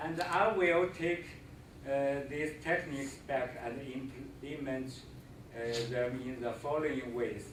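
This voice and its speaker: There are long, frequent pauses as a man talks at a fairly slow pace. Audible room echo and noticeable background noise fill the recording. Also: fairly high pitch for a man, ordinary pitch variation. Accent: Chinese. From China. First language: Chinese. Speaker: visiting scholar, teacher. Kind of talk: presentation. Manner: halting, many fillers.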